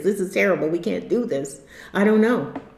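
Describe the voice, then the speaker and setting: A woman with a fairly high voice is heard amid audible room echo and noticeable background noise. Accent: American. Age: 60s. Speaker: YouTube commentator. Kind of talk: monologue vlog. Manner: halting; earnest.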